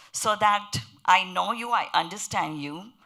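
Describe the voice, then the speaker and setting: A woman with a strong Indian accent speaks in a bright, sharp tone with vocal fry. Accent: heavy Indian. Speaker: panelist on interfaith pluralism. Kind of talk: panel discussion.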